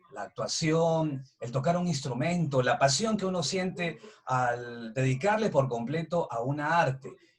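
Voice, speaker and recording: There is noticeable background noise as a man speaks at a fairly slow pace with ordinary pitch variation. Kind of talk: interview host.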